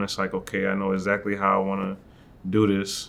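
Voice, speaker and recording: Speaking at a fairly quick pace, a man with an American accent uses a fairly low pitch. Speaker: rapper. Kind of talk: interview. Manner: monotone; not loud.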